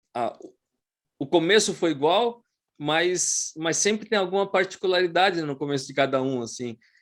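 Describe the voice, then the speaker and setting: Intonation is lively at a moderate pace. The recording is very clean, with a silent background. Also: man, high pitch for a man. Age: 40s. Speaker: podcast host. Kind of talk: interview. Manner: halting.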